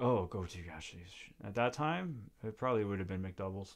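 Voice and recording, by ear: With lively intonation, a man talks at a fairly quick pace in a fairly low voice.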